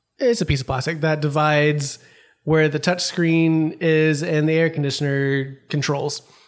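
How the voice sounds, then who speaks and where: A man with an ordinary speaking voice talks at a moderate pace, his pitch fairly high and his intonation fairly even, his loudness very even on a very clean recording with a silent background. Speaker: magazine staff podcast co-host. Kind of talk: casual chat.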